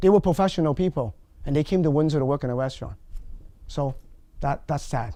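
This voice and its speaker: A man with a non-native accent speaks at a fairly quick pace in a dark, mellow tone with ordinary pitch variation. The recording is very clean with a silent background. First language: not English. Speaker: immigrant interviewee. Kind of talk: documentary interview.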